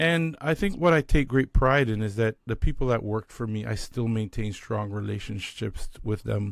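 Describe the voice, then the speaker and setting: A man with a Canadian accent speaks in an ordinary speaking voice, medium in pitch with ordinary pitch variation. His moderate pace has hardly any pauses, in a very clean recording with a silent background. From Canada. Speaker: leadership strategist. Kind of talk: interview conversation. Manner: casual, conversational.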